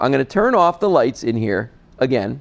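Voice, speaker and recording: A man in an animated tone. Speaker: TV shopping host. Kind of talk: sales pitch. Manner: loud.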